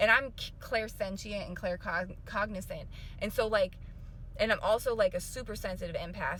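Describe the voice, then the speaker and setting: A woman's animated, fairly quick speech over noticeable background noise. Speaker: spiritual life coach and vlogger. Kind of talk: casual vlog to viewers. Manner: fast.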